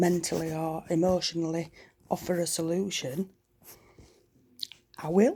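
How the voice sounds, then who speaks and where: With a Yorkshire accent, a woman speaks at a moderate pace in a dark, mellow tone. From Yorkshire, northern England. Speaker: vlogger. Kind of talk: casual chat. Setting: at home at night. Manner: loud.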